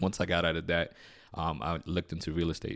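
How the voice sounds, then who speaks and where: A very deep, low male voice with an American accent, racing at a very fast pace over a very clean recording with a silent background. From New York City, Queens. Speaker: real estate investor. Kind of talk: interview. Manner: animated.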